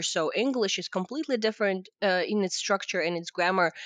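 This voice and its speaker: Talking at a fairly quick pace, a woman in a Russian accent lets her pitch swing very widely. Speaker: podcast host. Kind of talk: interview.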